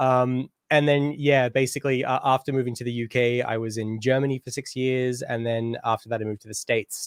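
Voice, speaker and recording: The very fast speech of a man with an Australian accent comes through dry and close with no echo, at a medium pitch with ordinary variation. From Australia, Canberra. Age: 30s. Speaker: DJ and music producer. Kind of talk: interview. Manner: casual, hesitant with fillers.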